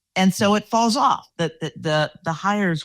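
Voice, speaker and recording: In an ordinary speaking voice, a woman talks at a fairly slow pace with lively intonation. The sound is dry and close with no echo, on a very clean recording with a silent background. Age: 60s. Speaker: podcast host, executive coach. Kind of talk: casual interview.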